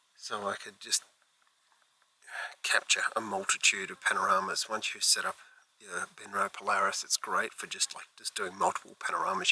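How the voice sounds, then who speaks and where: Someone talks at a fairly quick pace in an Australian accent. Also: man. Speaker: landscape astrophotographer vlogger. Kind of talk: vlog narration while shooting. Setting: outdoors at night by a lake. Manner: soft-spoken.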